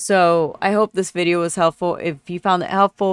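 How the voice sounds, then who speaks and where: In a plain, everyday voice, a woman speaks at a fairly low pitch and a fairly slow pace, the recording very clean with a silent background and a dry, close sound with no echo. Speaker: streamer and gaming YouTuber. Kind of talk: tutorial. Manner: casual, rambling with many filler words.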